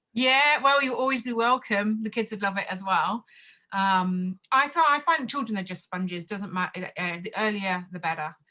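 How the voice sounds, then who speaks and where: A woman with an Australian accent speaks at medium pitch and a moderate pace, with lively intonation. Her tone is bright and sharp, and the background is quiet. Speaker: Mandarin teacher and choir leader. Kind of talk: interview. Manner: hesitant, many fillers.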